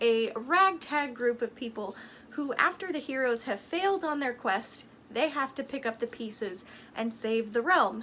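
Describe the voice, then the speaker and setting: A woman's raised, projected voice with lively intonation. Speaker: book vlogger. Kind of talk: casual review monologue. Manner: animated.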